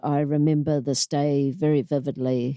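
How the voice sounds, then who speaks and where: In a New Zealand accent, a woman speaks very slowly in a very deep, low voice with a dark, mellow tone and fairly even intonation. The recording is very clean with a silent background, and the sound is dry and close with no echo. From New Zealand, Auckland. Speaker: inspirational speaker and anti-bullying program founder. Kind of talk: interview, personal life story.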